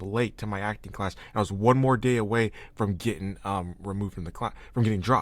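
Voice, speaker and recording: A normal speaking voice moves at a fairly quick pace. The recording is very clean, with a silent background. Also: man. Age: 20s. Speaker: podcast host. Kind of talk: casual chat.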